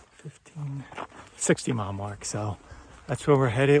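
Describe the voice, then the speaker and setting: American-accented male speech with ordinary pitch variation. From Philadelphia, US. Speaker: long-distance hiker, vlogger. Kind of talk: video diary. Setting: outdoors on a hiking trail. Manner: casual, with frequent fillers.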